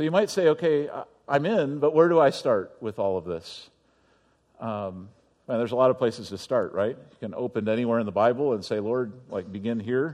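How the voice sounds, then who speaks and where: An unremarkable speaking voice belongs to a man with medium pitch and lively intonation. He goes at a fairly quick pace, and his loudness swings widely. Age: 40s. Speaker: pastor. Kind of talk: sermon.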